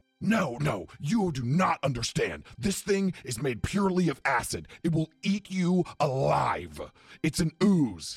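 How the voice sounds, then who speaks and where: A man puts on a character voice. It sits fairly high and moves at a fairly slow pace. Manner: angry, profane, shouting.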